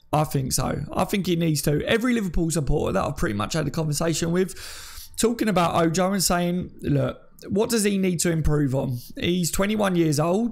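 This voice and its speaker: A high-pitched man with an English accent at a fairly quick pace. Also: very even loudness. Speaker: football YouTuber. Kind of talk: live stream commentary. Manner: stutter; casual.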